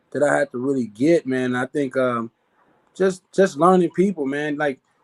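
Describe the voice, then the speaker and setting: Speaking at a moderate pace with ordinary pitch variation, a man comes through in a dry, close sound with no echo. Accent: American. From Chicago, West Side. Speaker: network marketer. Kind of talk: interview. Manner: casual, filler-heavy; stumbling, repeats words.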